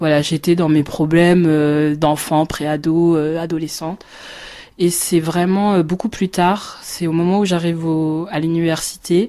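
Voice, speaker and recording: A woman talks at a fairly low pitch in a dark, mellow tone. Her intonation is monotone and flat. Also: fairly slow pace. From France, Paris region (Marne-la-Vallée). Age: 30s. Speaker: teacher and blogger. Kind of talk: testimony. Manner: halting, many hesitations.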